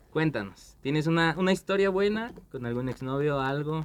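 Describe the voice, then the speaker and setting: At a moderate pace, a man with a fairly high pitch and lively intonation talks in an ordinary speaking voice. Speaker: podcast host. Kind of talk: casual chat.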